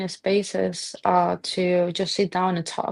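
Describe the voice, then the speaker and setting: A woman is speaking. She has a Colombian accent. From Colombia, Barranquilla. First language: Spanish. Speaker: restaurant owner. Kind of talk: interview. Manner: halting.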